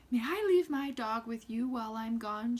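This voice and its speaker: A woman puts on a character voice, speaking at a moderate pace in a fairly high pitch. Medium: read story. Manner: meek, sweet.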